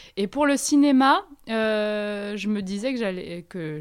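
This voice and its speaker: A woman with lively intonation on a very clean recording with a silent background. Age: 20s. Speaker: actress. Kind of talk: interview. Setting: at her home.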